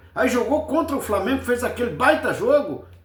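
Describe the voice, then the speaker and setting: Room echo is audible as a man speaks with an extremely high pitch. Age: 70s. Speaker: football fan commentator. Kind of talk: casual post-match commentary.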